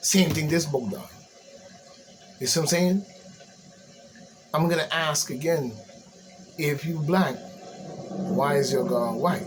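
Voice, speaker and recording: Fairly slow, fairly high-pitched male speech with an American accent and long, frequent pauses, amid noticeable background noise and audible room echo. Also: ordinary pitch variation. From US Virgin Islands. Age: 60s. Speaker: commentator. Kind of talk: ranting monologue. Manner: animated.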